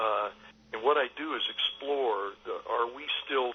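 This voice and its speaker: With noticeable background noise behind him, a man talks at a fairly slow pace. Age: 60s. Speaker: film director. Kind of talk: interview. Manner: halting, many fillers.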